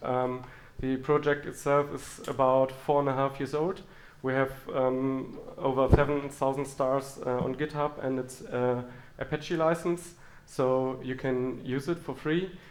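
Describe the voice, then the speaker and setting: A man with a strong German accent speaks at medium pitch and a fairly slow pace with fairly even intonation, and the room echo is audible. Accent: heavy German. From Germany. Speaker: software engineer and conference speaker. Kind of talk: conference talk. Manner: halting, many fillers.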